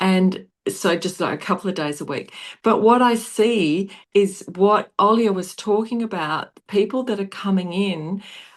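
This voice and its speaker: Speaking at medium pitch with an Australian accent, a woman talks at a fairly slow pace with ordinary pitch variation over a quiet background. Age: 60s. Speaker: nurse and wellness product seller. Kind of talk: video call presentation.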